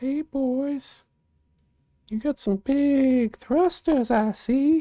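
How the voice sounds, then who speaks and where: A put-on character voice speaks at a very slow pace. Its tone is playful. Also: female-sounding voice, high pitch for a woman. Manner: silly, playful.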